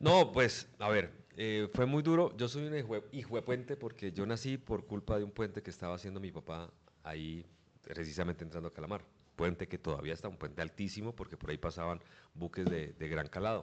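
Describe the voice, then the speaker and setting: With a fairly low pitch, a man speaks at a fairly quick pace with lively intonation. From Colombia, Bucaramanga (Santander). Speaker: sports journalist. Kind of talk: interview.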